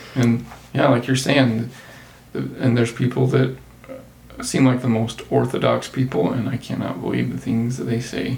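With a Utah accent, a man talks at a moderate pace. Background noise is noticeable. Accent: Utah American. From southern Utah. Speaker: accountant. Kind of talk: casual chat.

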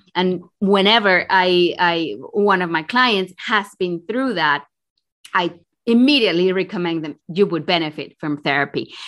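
At a fairly slow pace, a woman with a Spanish accent speaks in a bright, sharp tone. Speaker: executive coach. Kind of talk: interview. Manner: halting.

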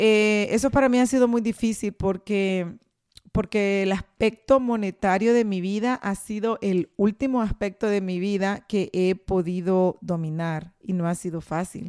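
At a fairly slow pace, a woman with a medium pitch speaks in an animated tone with ordinary pitch variation, the sound dry and close with no echo. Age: 40s. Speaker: podcast host. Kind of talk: motivational monologue.

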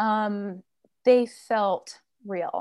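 A woman with a normal speaking voice talks at a fairly high pitch with ordinary pitch variation against a quiet background. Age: 30s. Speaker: author. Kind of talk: interview.

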